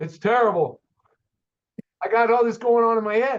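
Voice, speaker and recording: A man speaking at a moderate pace. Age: 60s. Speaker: auto shop owner and mechanic. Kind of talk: podcast interview storytelling. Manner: animated.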